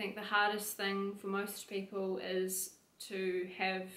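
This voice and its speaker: A woman's medium-pitched voice in audible room echo. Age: 20s. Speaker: fitness coach and personal trainer; fitness coach, personal trainer. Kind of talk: personal testimony monologue. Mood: reflective, personal story. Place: home room.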